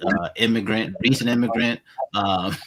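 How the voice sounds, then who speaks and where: Bright and sharp in tone, a man speaks with a slight Spanish accent. His pace is moderate. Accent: slight Spanish-inflected English. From Queens, New York, raised from age seven; born Venezuela, childhood Colombia. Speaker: podcast host. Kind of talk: interview. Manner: halting, many repetitions and fillers.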